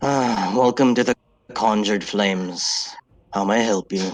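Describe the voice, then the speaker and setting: A man puts on a character voice at a fairly low pitch. He keeps a moderate pace. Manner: depressed.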